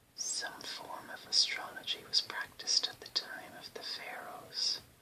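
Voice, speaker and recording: Someone whispers with an Irish accent at a fairly slow pace over noticeable background noise. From Ireland. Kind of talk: ASMR reading of an encyclopedia-style text. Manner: whispered.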